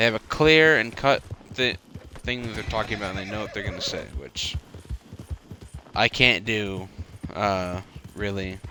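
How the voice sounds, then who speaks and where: A man's fairly low voice at a moderate pace with ordinary pitch variation, against noticeable background noise. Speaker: gaming youtuber. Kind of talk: casual gameplay commentary. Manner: stutters, many fillers; rambling, halting.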